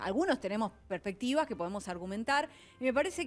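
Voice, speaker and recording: A woman talks at a very fast pace with a fairly high pitch. Her voice swings very widely in pitch. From Argentina. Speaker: feminist commentator. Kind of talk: casual chat. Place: studio. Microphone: handheld.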